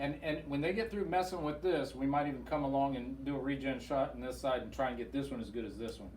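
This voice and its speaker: Talking very fast with hardly any pauses, a man with a fairly high voice and ordinary pitch variation is heard over noticeable background noise. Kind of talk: patient testimonial interview host.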